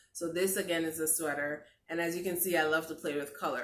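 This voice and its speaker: A woman's fairly low voice with audible room echo. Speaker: lifestyle vlogger. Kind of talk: craft tutorial vlog.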